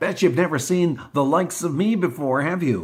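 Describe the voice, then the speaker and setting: A put-on character voice from a man, pitched fairly high, delivered at a moderate pace. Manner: cheery.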